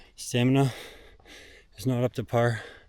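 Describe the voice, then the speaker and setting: Very slow male speech at a medium pitch, with audible room echo. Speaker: vlogger. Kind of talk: vlog. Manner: halting.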